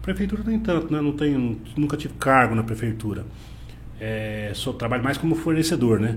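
There is audible room echo as a man talks at a medium pitch and moderate pace with ordinary pitch variation. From Paraná, Brazil (Cascavel). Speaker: business owner. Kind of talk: casual interview.

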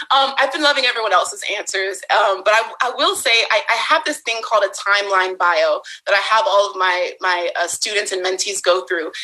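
Against noticeable background noise, a woman with an American accent talks fairly quickly at a fairly high pitch, her tone animated and her intonation lively. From US West Coast, San Francisco Bay Area. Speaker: Instagram content creator. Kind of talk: casual interview.

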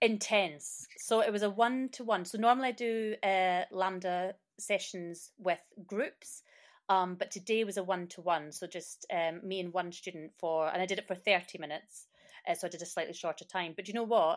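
A woman with a Scottish accent speaks with ordinary pitch variation on a very clean recording with a silent background. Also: medium pitch for a woman, moderate pace. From Scotland. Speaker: performer and student. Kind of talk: casual interview.

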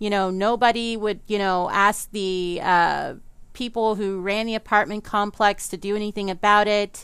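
In a very clean recording with a silent background, a woman with an American accent talks at a medium pitch and moderate pace. Her intonation is monotone and flat. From US South, New Orleans. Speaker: podcast host and paranormal researcher. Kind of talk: casual solo podcast monologue. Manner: chatty, conversational.

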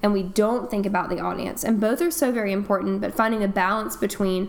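With an American accent, a woman talks at a fairly quick pace in a medium pitch with lively intonation, over noticeable background noise. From North Carolina. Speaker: English teacher. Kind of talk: casual chat.

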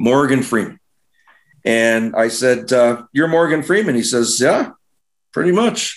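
At a fairly slow pace with long, frequent pauses, a man speaks at medium pitch with lively intonation and very even loudness. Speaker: advertising agency CEO. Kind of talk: interview. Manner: animated.

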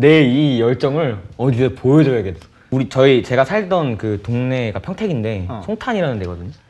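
Medium-pitched male speech at a moderate pace, full of very wide pitch swings. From South Korea, Pyeongtaek (Songtan). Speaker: R&B singer-songwriter. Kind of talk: casual chat.

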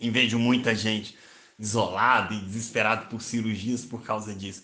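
A man at a moderate pace, bright and sharp in tone, with audible room echo. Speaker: journalist and psychoanalytic therapist. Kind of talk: solo podcast monologue. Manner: hesitant with repetitions.

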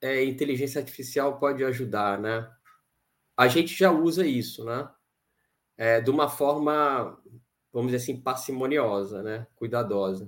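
At a fairly slow pace, a man with a medium pitch speaks with long, frequent pauses. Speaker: quantitative fund manager. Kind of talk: interview.

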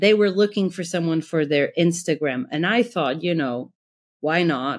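This woman has a fairly low pitch and ordinary pitch variation, speaking with a Portuguese accent. The recording is very clean, with a silent background. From Portugal. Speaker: graphic designer. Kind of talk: interview.

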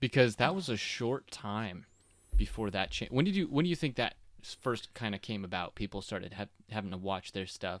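An unremarkable speaking voice from a man, fairly low in pitch with lively intonation, at a moderate pace on a very clean recording with a silent background. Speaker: podcast host. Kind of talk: casual interview chat with family. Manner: friendly, upbeat, conversational.

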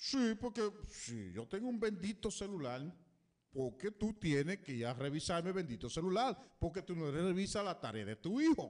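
Very wide pitch swings mark this man's high voice. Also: moderate pace. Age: 50s. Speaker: radio co-host. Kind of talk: casual chat.

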